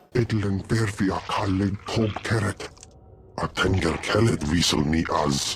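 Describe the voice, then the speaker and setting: A man doing a put-on character voice, pitched fairly low, with clear background noise behind him. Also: moderate pace. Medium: video game. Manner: speaks unintelligible alien language.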